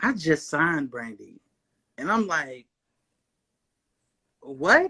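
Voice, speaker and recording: In a very clean recording with a silent background, a man with a fairly high, bright, sharp voice speaks at a very slow pace with lively intonation. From Kentucky, US. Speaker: singer, songwriter and producer. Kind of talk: interview.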